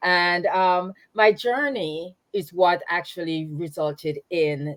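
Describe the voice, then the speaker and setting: A woman with a Jamaican accent at a very slow pace, with hardly any pauses and ordinary pitch variation. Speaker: nonprofit founder. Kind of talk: interview. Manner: halting.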